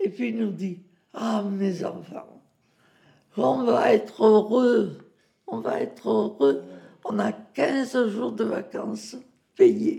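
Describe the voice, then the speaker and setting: A woman is talking. Her pace is very slow. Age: 90s. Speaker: retirement home resident sharing memories. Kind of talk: interview testimony.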